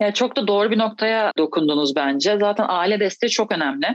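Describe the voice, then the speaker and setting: A woman's voice sits at a medium pitch. Its pitch varies in an ordinary way. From Turkey, İzmir. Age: 30s. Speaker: professional basketball player. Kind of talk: interview. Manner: hesitant, many fillers.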